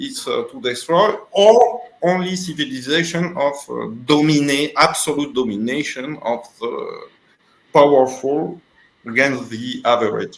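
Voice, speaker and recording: A man speaks in a French accent at a fairly high pitch. His intonation is lively, with big swings in loudness. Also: fairly slow pace. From Tunisia. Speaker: philosopher. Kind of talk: interview. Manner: halting.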